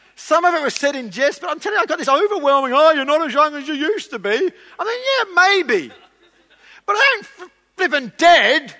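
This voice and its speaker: A raised, projected voice with a bright, sharp tone moves at a fairly quick pace through very wide pitch swings. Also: man, extremely high pitch for a man. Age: 40s. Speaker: pastor. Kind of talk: sermon.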